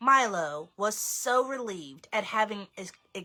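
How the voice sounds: The intonation is lively. The reading voice sounds natural.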